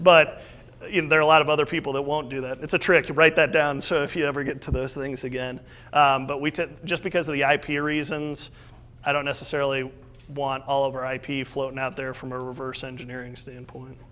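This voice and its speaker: A man with a Midwestern US accent and a fairly high pitch speaks at a fairly quick pace in a monotone, flat way, with a bright, sharp tone and big swings in loudness. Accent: US Midwest. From Iowa, Des Moines area. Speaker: entrepreneur. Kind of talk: talk with audience Q&A. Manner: fast.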